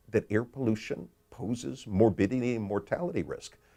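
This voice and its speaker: Medium-pitched male voice, dark and mellow with vocal fry, at a moderate pace. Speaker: economist and author. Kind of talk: explanatory talk about his book.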